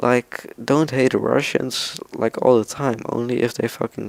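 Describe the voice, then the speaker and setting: Speaking with a non-native accent, a man talks fairly slowly at a medium pitch with fairly even intonation. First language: not English. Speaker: gaming YouTuber. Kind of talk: casual gaming vlog talk. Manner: quiet, speaking softly at night; halting, many fillers.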